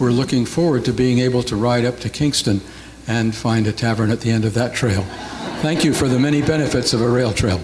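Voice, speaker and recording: Over noticeable background noise, a medium-pitched man talks at a fairly quick pace with very even loudness and ordinary pitch variation. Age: 70s. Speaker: public commenter at council meeting. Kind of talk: public comment.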